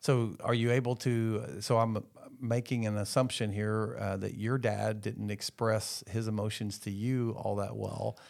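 The man has an ordinary speaking voice with a fairly low pitch and fairly even intonation. He speaks at a fairly slow pace on a very clean recording with a silent background. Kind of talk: interview with scripted intro and outro.

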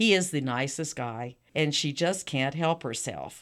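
A woman with a Texan accent, very deep, low pitch, very wide pitch swings, and a fairly slow pace. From South Texas. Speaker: author. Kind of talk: interview.

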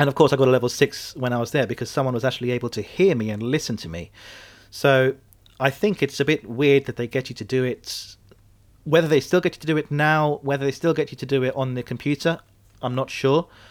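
A man with a British accent talks at a very fast pace, at a medium pitch with ordinary pitch variation, in a very clean recording with a silent background. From UK. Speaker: podcast host and airline pilot. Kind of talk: solo podcast monologue.

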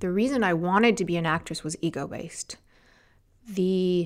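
A woman with a fairly low voice and a Californian accent speaks with ordinary pitch variation on a very clean recording with a silent background. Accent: Californian American. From Los Angeles, US. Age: 40s. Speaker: beauty entrepreneur. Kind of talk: interview. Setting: studio.

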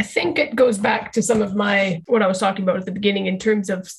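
The speaker is a woman with a somewhat breathy voice. Her intonation is fairly even. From Canada, Calgary. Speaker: social work lecturer and researcher. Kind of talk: interview.

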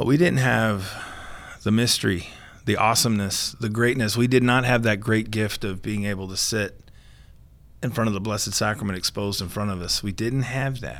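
Using a plain, everyday voice, a man talks at a fairly quick pace, with medium pitch and ordinary pitch variation. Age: 40s. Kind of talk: interview.

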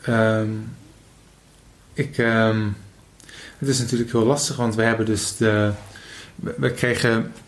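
Very slowly and with long, frequent pauses, a man speaks at medium pitch with fairly even intonation amid audible room echo. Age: 20s. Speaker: podcast host. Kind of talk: casual chat. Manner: halting.

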